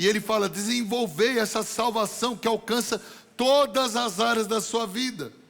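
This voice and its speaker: The speaker is a man with a high voice. He talks at an even tempo. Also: fairly even intonation. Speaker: pastor. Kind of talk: sermon. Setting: church.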